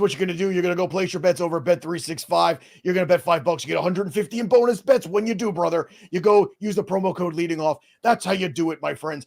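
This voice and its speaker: A raspy, put-on character voice from a man, high-pitched, with ordinary pitch variation and a very fast pace. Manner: loud, hyped, wrestling-style.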